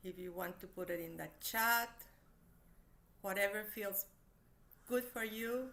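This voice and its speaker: A woman with a non-native accent speaks fairly slowly, her tone both gentle and bright and sharp, with long, frequent pauses. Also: medium pitch for a woman, fairly even intonation. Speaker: therapist and meditation teacher. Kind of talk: online workshop talk; guided meditation. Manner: slow, gentle.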